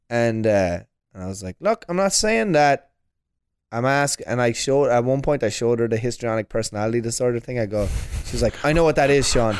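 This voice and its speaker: Speaking at a fairly quick pace with an Irish accent, this voice shows ordinary pitch variation in a dry, close recording with no echo. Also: man, medium pitch for a man. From Ireland. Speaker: stand-up comedian. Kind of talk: casual chat.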